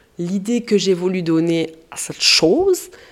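A woman with a fairly low pitch and ordinary pitch variation speaks in an animated tone over noticeable background noise. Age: 30s. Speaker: podcaster. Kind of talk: casual monologue.

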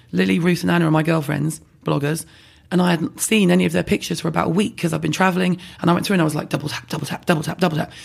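A woman with a London accent, very deep and low in pitch, very fast, with vocal fry and ordinary pitch variation. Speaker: beauty brand founder and online personality. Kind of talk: casual interview. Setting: in-person recording.

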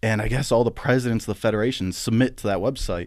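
Over a silent background in a very clean recording, a man with an American accent talks very fast at a medium pitch. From western Pennsylvania. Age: 30s. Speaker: powerlifter. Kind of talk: casual chat. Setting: studio.

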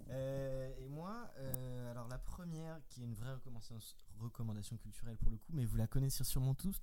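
At a moderate pace, a man talks with a medium pitch, a dark, mellow tone and ordinary pitch variation. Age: 20s. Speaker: software engineer. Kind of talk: casual chat.

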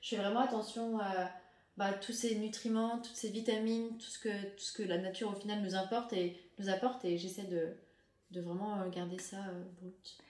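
A woman at a moderate pace, fairly even in intonation, with big swings in loudness, audible room echo and noticeable background noise. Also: medium pitch for a woman. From France. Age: 20s. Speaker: chef and restaurateur. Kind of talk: interview.

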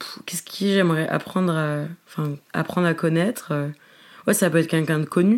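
A woman with an unremarkable speaking voice, fairly low in pitch, fairly even intonation, moderate pace. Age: 20s. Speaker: social media comedian. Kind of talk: casual chat.

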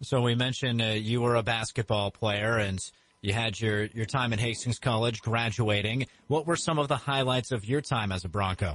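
A man with an ordinary speaking voice talks at a moderate pace and medium pitch, with ordinary pitch variation and very even loudness. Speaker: radio interviewer. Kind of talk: interview. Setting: radio studio.

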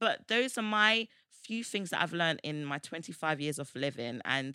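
With a British accent, a woman speaks at a moderate pace in a fairly low voice with ordinary pitch variation, on a very clean recording with a silent background. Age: 20s. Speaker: podcast co-host. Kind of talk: casual chat.

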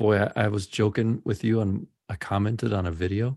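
A man with an American accent uses a plain, everyday voice at a fairly low pitch, moderate pace and ordinary pitch variation, the sound dry and close with no echo. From US South, Memphis. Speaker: podcast host. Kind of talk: casual chat. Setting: video call.

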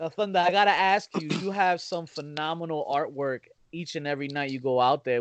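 A fairly high male voice at a fairly quick pace, with ordinary pitch variation. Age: 30s. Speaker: podcast host. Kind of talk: casual interview. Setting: phone or video call. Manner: animated.

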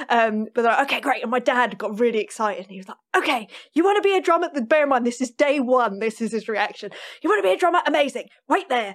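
A woman with a London accent talks very fast in a high voice with very wide pitch swings. Her loudness also swings a lot. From North London, England. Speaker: session and touring drummer. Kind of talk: interview conversation.

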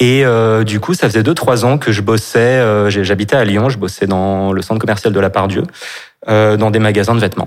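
A normal speaking voice with very even loudness and fairly even intonation. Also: man, fairly low pitch for a man, moderate pace. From Brittany, France. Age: 30s. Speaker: store manager and actor. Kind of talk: personal testimony in interview.

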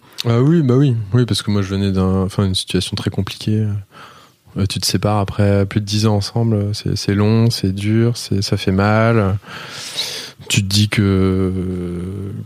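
Noticeable background noise sits behind a man speaking at a very slow pace with a fairly low pitch. His intonation is fairly even and his loudness very even. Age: 30s. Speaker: entrepreneur. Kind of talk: casual chat.

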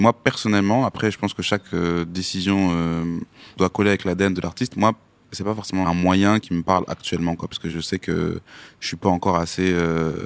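Very clean and silent in the background, the recording captures a man's very deep, low voice at a fairly quick pace, monotone and flat, with a dry, close sound and no echo. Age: young. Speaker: hip-hop artist. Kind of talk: podcast interview.

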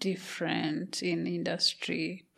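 A woman speaks with a Kenyan accent. Her pace is very slow. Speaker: podcast host. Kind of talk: casual interview.

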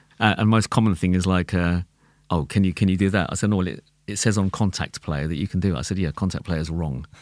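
A man talks very fast in a London accent with a very deep, low pitch. The recording is very clean, with a silent background. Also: ordinary pitch variation. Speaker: tabla player. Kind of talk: casual chat. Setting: studio.

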